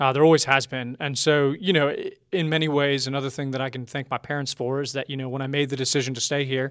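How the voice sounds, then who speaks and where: Very fast and fairly high-pitched, a man with an American accent talks in a very clean recording with a silent background. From Colorado Springs, US, partly Philippines. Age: 20s. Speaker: young church leader. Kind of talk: interview.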